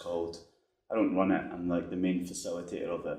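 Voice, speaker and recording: Very deep, low male voice with a Scottish accent, flat and monotone, in audible room echo. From Scotland. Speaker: game developer. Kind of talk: conference talk. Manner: casual, many fillers.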